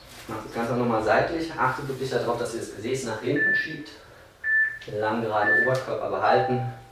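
Fairly quick speech from a man with ordinary pitch variation, audible room echo and loud background noise. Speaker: fitness trainer. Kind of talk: workout instruction. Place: home room.

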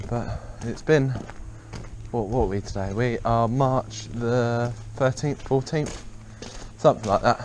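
A man talks at a fairly slow pace with fairly even intonation. Light background noise is present. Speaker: farmer vlogger. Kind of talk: casual vlog chat. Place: farm machine. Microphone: phone near.

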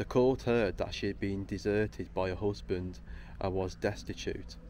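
Light background noise accompanies a man whose very deep, low voice carries vocal fry. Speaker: local history explorer vlogger. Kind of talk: casual vlog chat. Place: tunnel cave. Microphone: phone near.

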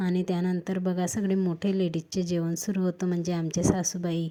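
The woman speaks at a medium pitch. Her intonation is monotone and flat. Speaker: lifestyle vlogger. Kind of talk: vlog narration.

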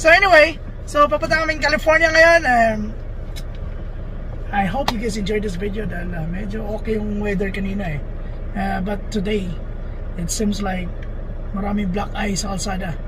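A man's raised, projected voice carries over noticeable background noise. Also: fairly quick pace. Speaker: truck driver vlogger. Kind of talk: casual vlog chat. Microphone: phone near.

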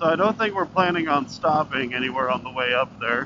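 Over light background noise, a man talks at a moderate pace in a dry setting with no echo. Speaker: motorcycle vlogger. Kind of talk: casual vlog chat. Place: motorbike. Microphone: helmet.

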